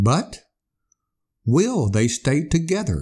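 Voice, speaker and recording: Very slow male speech with vocal fry and very wide pitch swings. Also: very clean recording, silent background. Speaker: author and podcast host. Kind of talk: reading aloud from his own romance novel, audiobook narration; casual self-introduction, talking about his writing career.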